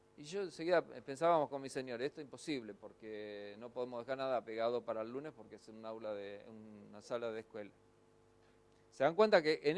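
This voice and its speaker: A man speaks with a Rioplatense accent. His pitch swings very widely. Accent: Argentine Spanish (rioplatense, voseo). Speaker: pastor and ministry teacher. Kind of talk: lecture. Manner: fast.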